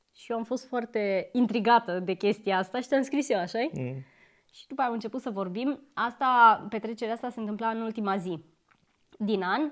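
With lively intonation and a fairly high pitch, a woman speaks at a moderate pace over a quiet background. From Romania. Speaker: YouTuber. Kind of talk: casual chat. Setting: home, on a couch. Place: home room. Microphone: lapel.

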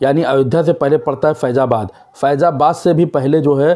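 A man's dark, mellow voice moves at a moderate pace.

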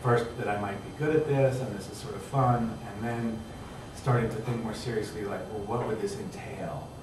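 A man keeps a moderate pace and fairly even intonation while noticeable background noise and audible room echo fill the recording. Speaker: writer and teacher. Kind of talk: panel discussion. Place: hall. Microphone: camera far.

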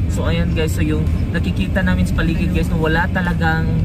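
With music playing in the background, a man speaks in a dry sound with no echo. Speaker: travel vlogger. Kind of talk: casual vlog chat. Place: car. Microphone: phone near.

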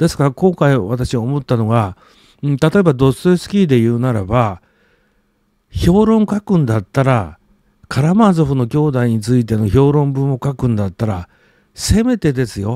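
Man at medium pitch with a dark, mellow tone and very wide pitch swings, moderate pace, dry and close with no echo, very clean recording with a silent background. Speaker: literature commentator and blogger. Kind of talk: solo video monologue. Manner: halting, many filler words.

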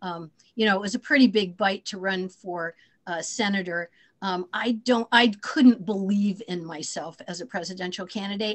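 A woman speaks at a moderate pace and medium pitch, her loudness swinging widely and her pitch varying in an ordinary way against a quiet background. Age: 60s. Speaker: former senate candidate and teacher; candidate, teacher. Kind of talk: Q&A on a video call. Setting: video call. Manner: hesitant, many fillers. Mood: modest, reflective. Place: home room. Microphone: video call.

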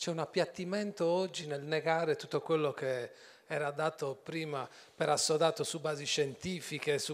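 An ordinary speaking voice moves at a moderate pace with ordinary pitch variation. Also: man. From Sardinia. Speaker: journalist moderator. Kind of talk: onstage interview. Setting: stage with audience. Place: stage. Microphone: handheld.

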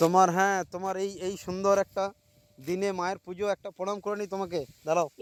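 Here a man speaks at a high pitch in a monotone, flat intonation. The sound is dry and close, with no echo. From West Bengal, Purba Bardhaman. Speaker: village vlogger. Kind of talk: outdoor vlog to camera. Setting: outdoors, rice field.

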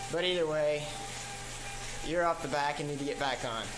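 There is noticeable background noise. A man speaks at a fairly quick pace. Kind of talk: instructional commentary.

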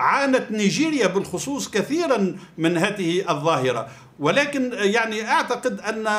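A man talks in a high pitch at a fairly slow pace. His pitch swings very widely. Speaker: guest. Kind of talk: interview answer.

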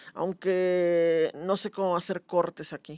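A dry, close recording with no echo carries this man's voice. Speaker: gaming youtuber. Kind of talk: gameplay commentary. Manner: animated.

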